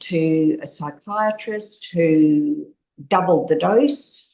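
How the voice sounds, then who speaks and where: The speaker uses an Australian accent and talks at a very slow pace. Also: woman. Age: 60s. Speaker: interviewee sharing personal experience. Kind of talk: testimony.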